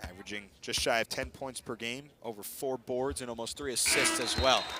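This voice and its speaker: The voice has ordinary pitch variation. Noticeable background noise can be heard. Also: man, medium pitch for a man. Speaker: TV sports play-by-play announcer. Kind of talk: live women's basketball play-by-play. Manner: fast, energetic.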